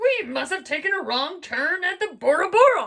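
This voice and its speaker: Putting on a character voice, a woman speaks loud and gruff at an extremely high pitch. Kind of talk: bedtime story. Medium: read story. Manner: gruff, loud, pirate talk.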